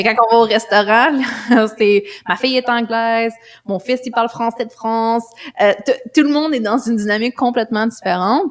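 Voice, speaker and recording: With a Quebec accent, a woman speaks at a moderate pace and a fairly high pitch, with ordinary pitch variation and noticeable background noise. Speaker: life coach and mother. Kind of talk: casual interview conversation.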